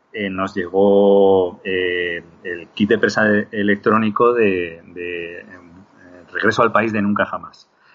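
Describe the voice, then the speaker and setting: A man talks at a very slow pace in a monotone, flat delivery. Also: fairly low pitch for a man. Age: 40s. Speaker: digital compositor. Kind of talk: interview.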